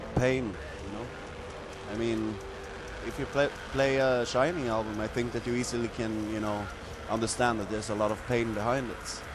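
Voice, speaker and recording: A man's medium-pitched voice in a Swedish accent, fairly even in intonation, with long, frequent pauses, audible room echo and noticeable background noise. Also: moderate pace. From Sweden. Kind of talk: interview. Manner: casual, frequent fillers.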